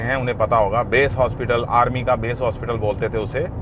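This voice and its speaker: A man speaks at a medium pitch with a slight Punjabi accent, with noticeable background noise behind him. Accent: Hindi with slight Punjabi touch. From India, army postings (Siliguri, Sagar MP). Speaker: motorcycle vlogger. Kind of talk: casual vlog storytelling. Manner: casual, hesitant with fillers.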